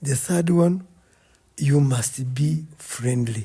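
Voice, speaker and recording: A man speaks in a fairly high pitch. His tone is dark and mellow, and somewhat breathy. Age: 60s. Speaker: retired army officer and farmer. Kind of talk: casual chat. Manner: halting.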